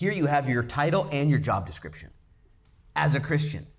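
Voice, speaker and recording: A man talks at a fairly quick pace in an animated tone. His voice is somewhat breathy, with audible room echo. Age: 40s. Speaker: pastor. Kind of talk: sermon.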